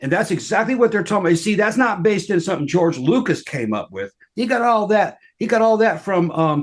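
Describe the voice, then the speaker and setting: A man at a high pitch, very fast pace, and ordinary pitch variation. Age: 50s. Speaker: poltergeist experiencer, retired military veteran. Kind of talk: casual interview chat.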